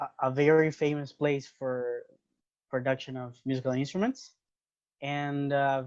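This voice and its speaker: At a fairly slow pace, a fairly high-pitched man with a Spanish accent speaks with monotone, flat intonation. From Venezuela, Barquisimeto. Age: 20s. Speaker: interview guest. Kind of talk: casual interview.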